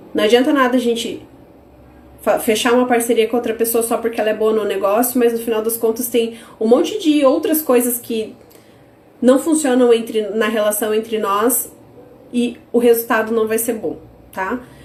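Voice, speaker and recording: Against noticeable background noise, a woman speaks at a fairly high pitch with long, frequent pauses. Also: ordinary pitch variation, moderate pace. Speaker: business course teacher. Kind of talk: online live class. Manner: animated.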